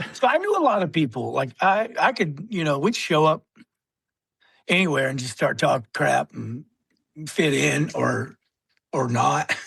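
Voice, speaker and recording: A man speaks at a fairly slow pace with long, frequent pauses. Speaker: Marine veteran. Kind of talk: casual chat. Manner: loud.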